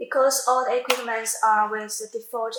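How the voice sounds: In a room with audible echo, a woman speaks with a fairly bright tone at a fairly high pitch.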